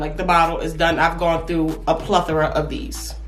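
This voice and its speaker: A woman is speaking with music in the background. Room echo is audible. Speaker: beauty vlogger. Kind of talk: casual vlog talk. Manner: animated.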